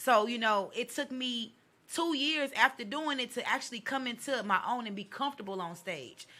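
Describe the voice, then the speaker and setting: A loud woman's voice, high-pitched, with a bright, sharp tone and ordinary pitch variation. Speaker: poet. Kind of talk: casual chat. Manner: fast.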